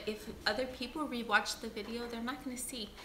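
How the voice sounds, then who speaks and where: A woman speaks loudly at a high pitch, with audible room echo and noticeable background noise around her. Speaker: beauty vlogger. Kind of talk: livestream chat reading comments. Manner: loud by nature; deliberately quiet.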